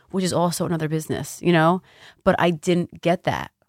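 Recorded very cleanly against a silent background, a woman with an American accent speaks in a plain, everyday voice at a fairly low pitch with fairly even intonation, and the sound is dry and close with no echo. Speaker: spa owner and massage therapist. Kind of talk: interview.

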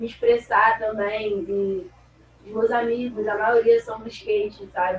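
Speaking at a fairly high pitch, a woman has an unremarkable speaking voice. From Rio de Janeiro, Brazil. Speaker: skateboarder. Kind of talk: casual interview chat.

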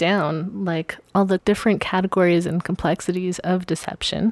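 With a normal speaking voice at a moderate pace, a woman of medium pitch is heard in a dry, close sound with no echo. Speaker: podcast guest. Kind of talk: casual conversational discussion.

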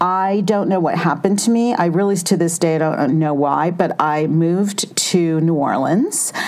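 Hardly any pauses from a woman with a fairly low pitch and an American accent, at very even loudness, with audible room echo and noticeable background noise. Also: ordinary pitch variation, moderate pace. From Southern California. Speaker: beauty writer and editor. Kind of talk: interview. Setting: studio, sitting next to host.

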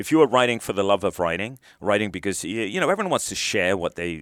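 The voice carries a British accent. The recording is very clean, with a silent background and a dry, close sound free of echo. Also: man. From England. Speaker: retired military officer. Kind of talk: casual interview chat.

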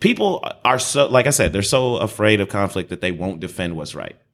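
The recording is very clean, with a silent background. A man speaks with lively intonation. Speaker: podcast co-host. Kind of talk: casual chat. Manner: loud.

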